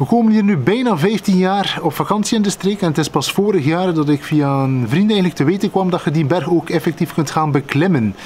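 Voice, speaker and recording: Lively intonation marks this man's speech at a moderate pace. Light background noise is present. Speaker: vlogger. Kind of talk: casual vlog storytelling. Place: garden. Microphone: phone near.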